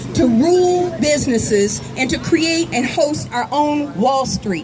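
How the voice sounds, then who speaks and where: A woman with an American accent, high-pitched and swinging very widely in pitch, over noticeable background noise. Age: 60s. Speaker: activist speaker. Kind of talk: rally speech. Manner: impassioned, rhetorical repetition.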